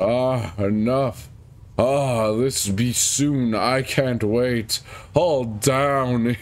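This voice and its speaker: Putting on a character voice at a medium pitch, a man speaks at a very slow pace over light background noise. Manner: scary, evil.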